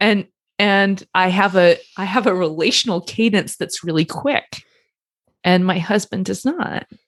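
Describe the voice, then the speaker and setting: Spoken at a fairly slow pace, this is an unremarkable speaking voice with ordinary pitch variation. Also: woman, medium pitch for a woman, dry, close sound with no echo. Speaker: couples therapist. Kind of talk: casual podcast discussion.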